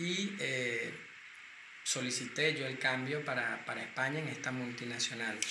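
A man talks at a fairly slow pace in a medium pitch with ordinary pitch variation. Noticeable background noise and audible room echo fill the recording. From Venezuela. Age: 40s. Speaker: cosmetics company founder and pharmacist. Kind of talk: interview.

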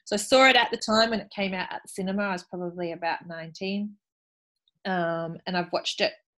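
A woman with an Australian accent, medium-pitched, at a moderate pace with fairly even intonation. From Australia, Sydney. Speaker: film podcast host. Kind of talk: casual chat. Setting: remote call.

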